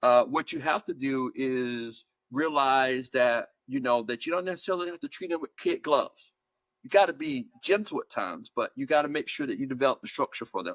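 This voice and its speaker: A man with an American accent and a normal speaking voice, fairly high in pitch, at a fairly quick pace with lively intonation, in a dry, close recording with no echo. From US South, Georgia. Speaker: higher education leader and author. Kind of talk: interview. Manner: measured, with many fillers and repeats.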